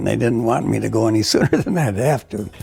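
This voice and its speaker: Background music is playing. Over it, a man delivers his words at a moderate pace. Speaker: war veteran. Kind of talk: oral history interview.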